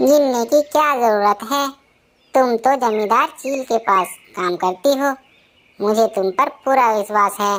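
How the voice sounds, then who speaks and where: A cartoonish character voice, female-sounding, at a moderate pace. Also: fairly high pitch for a woman. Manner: smooth, ingratiating.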